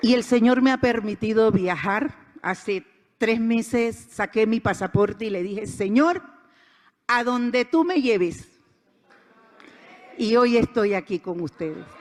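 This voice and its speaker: With an animated tone and lively intonation, a woman speaks at a fairly high pitch, leaving long, frequent pauses. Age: 60s. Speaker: conference speaker. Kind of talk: inspirational talk.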